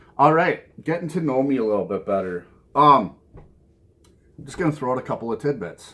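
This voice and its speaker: A man with a Minnesota accent, bright and sharp in tone, with lively intonation, big swings in loudness, a fairly quick pace and long, frequent pauses. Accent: Minnesota accent, noticeable. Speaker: vinyl record collector video host. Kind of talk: casual vlog talk to camera. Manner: casual, with frequent fillers and repetitions.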